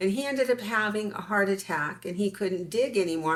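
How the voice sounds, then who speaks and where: A woman with a plain, everyday voice and an American accent, at a moderate pace, on a very clean recording with a silent background. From US West (California desert). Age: 60s. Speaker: interviewee, claimed alien hybrid. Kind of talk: interview, personal story.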